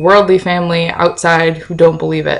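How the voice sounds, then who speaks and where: The voice is mumbling, with monotone, flat intonation. The background is quiet. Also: woman. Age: 20s. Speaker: video blogger. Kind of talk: casual vlog chat. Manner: tends to mumble. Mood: earnest, cautionary. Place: kitchen. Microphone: webcam.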